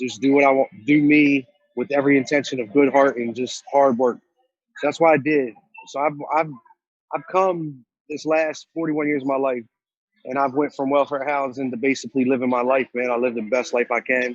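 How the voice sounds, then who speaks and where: This man talks at a fairly quick pace in a fairly high pitch, with fairly even intonation. It is an ordinary speaking voice. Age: 40s. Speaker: tattoo shop owner and entrepreneur. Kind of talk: motivational talk. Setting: video call from inside a store. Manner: casual, conversational.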